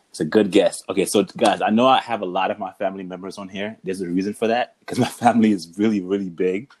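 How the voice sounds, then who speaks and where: At a very fast pace, a man talks with hardly any pauses. His fairly low pitch follows a fairly even intonation. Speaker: podcast host. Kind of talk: casual chat.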